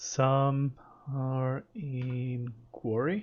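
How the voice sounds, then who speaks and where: A man with a non-native accent, a somewhat breathy voice and medium pitch. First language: not English. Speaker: gaming streamer. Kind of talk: live stream commentary. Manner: casual, thinking aloud.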